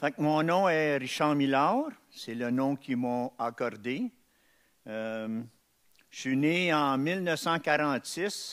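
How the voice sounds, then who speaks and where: Speaking at a very slow pace with long, frequent pauses, a man uses a fairly high pitch and ordinary pitch variation. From Montreal, Quebec (Ville-Émard near Saint-Henri). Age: 70s. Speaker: testimony speaker. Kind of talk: testimony. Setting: testimony breakfast event. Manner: halting, many hesitations.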